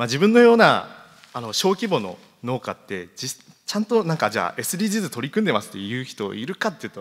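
At a fairly quick pace, a man's fairly high voice makes very wide pitch swings and big swings in loudness. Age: 20s. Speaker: farmer. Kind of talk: presentation. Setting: stage with audience.

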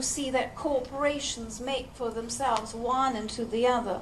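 Over light background noise, a woman with a high pitch speaks at a fairly slow pace. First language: English (speaking Russian). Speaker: spiritual channeler; speaker. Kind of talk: channeled lecture. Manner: slow, in short phrases paused for interpretation. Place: hall. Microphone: headset.

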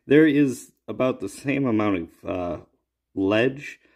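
Against a quiet background, a man talks at a fairly slow pace in an unremarkable speaking voice. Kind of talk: tutorial. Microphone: phone near.

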